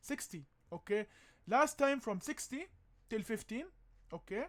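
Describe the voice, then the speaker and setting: A man with a non-native accent, lively intonation and a moderate pace. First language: not English. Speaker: crypto and stock commentator. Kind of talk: casual market analysis vlog. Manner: animated, emphatic; hesitant, many fillers.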